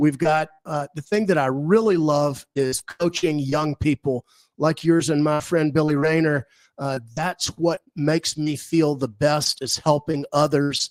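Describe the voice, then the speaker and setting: A man with an American accent has a normal speaking voice at a fairly high pitch and a fairly slow pace, with fairly even intonation. The sound is dry and close with no echo. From US South. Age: 60s. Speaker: property developer. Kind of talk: radio interview.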